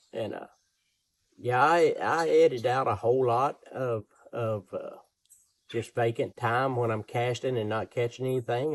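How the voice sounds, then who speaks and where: A man with a Southern US accent speaks at medium pitch and a moderate pace in a relaxed tone, with a dry, close sound and no echo. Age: 60s. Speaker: outdoor cooking and fishing YouTuber. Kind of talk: casual vlog talk. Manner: relaxed, rambling with repetitions.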